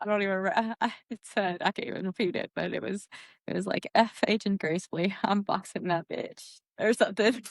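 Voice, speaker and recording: This woman's voice has vocal fry and ordinary pitch variation, recorded with a dry, close sound and no echo. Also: medium pitch for a woman, fairly quick pace. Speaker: podcast co-host. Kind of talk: casual chat.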